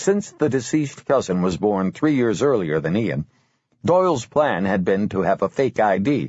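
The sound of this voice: Over a quiet background comes the voice. It is an unforced reading voice.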